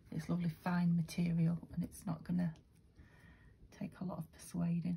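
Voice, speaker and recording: A woman's dark, mellow, somewhat breathy voice, fairly low in pitch, at a moderate pace. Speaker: craft video maker. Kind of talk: craft tutorial. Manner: quiet; casual, hesitant.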